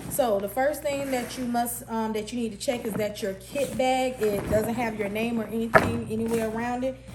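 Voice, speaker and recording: Someone with an American accent speaks at a moderate pace with fairly even intonation and hardly any pauses, with audible room echo and noticeable background noise. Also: woman, fairly high pitch for a woman. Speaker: cosmetology instructor. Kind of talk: tutorial. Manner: casual.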